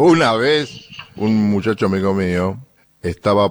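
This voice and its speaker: A man with a Rioplatense accent and a fairly low pitch. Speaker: radio host. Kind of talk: radio music commentary.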